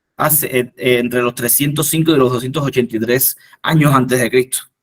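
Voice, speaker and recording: His intonation is fairly even throughout. The voice belongs to a man. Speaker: entomologist giving a workshop talk. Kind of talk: lecture. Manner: halting, many fillers and restarts.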